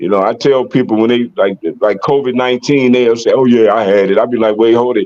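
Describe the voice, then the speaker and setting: The pitch varies in an ordinary way, and the pace runs fairly quick. It is an unremarkable speaking voice. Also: man. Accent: American. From US, Detroit Michigan. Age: 60s. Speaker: podcast host, locking dancer. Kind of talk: casual chat.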